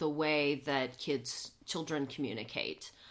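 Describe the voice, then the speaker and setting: The woman's voice has a very deep, low pitch. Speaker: play therapist. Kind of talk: interview explanation. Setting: play therapy room. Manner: low-key, calm.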